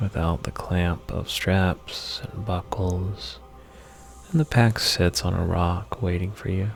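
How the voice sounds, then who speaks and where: Over music in the background, a man with a very deep, low pitch talks very slowly in a soothing, calm tone. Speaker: podcast host and therapist giving a guided meditation. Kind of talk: hypnotic guided meditation narration, second person imagery. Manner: soothing, slow, calm.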